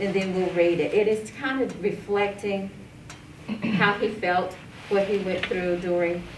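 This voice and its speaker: A woman's medium-pitched voice at a fairly slow pace with fairly even intonation and long, frequent pauses, amid audible room echo and noticeable background noise. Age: 60s. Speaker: nonprofit co-founder and heart health advocate. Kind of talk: talk to an audience. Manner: halting.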